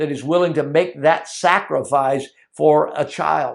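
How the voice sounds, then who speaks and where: In an ordinary speaking voice, a man talks at a fairly slow pace with fairly even intonation against a quiet background. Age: 60s. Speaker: Bible teacher. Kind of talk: teaching sermon.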